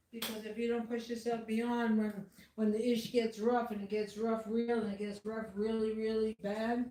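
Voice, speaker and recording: At a moderate pace, a woman with a fairly high pitch speaks in a monotone, flat intonation. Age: 60s. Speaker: art channel owner, vlogger. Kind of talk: casual vlog monologue. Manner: loud. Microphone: no microphone, camera mic.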